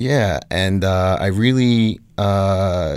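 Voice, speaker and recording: A man speaks with an American accent at a fairly low pitch, with ordinary variation in his pitch. The recording is very clean, with a silent background. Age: 30s. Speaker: art educator and doctoral candidate. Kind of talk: interview. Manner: halting, many fillers and repeats.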